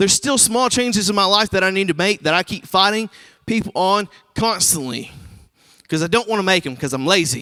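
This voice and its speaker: Raised and projected, a man's high-pitched voice carries lively intonation in a dry, close sound with no echo. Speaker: recovery ministry leader. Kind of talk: sermon. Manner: loud; casual.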